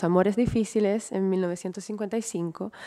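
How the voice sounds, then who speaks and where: Her intonation fairly even, a woman talks in a dark, mellow tone. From Italy. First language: Italian (speaking Spanish). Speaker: museum director and curator. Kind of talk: lecture.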